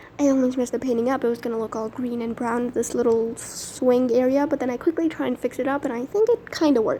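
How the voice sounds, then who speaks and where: A woman talks at a very fast pace with hardly any pauses and a high pitch. Her intonation is fairly even, with noticeable background noise behind her. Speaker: art YouTuber. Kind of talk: voiceover narration of painting process. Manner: casual, chatty.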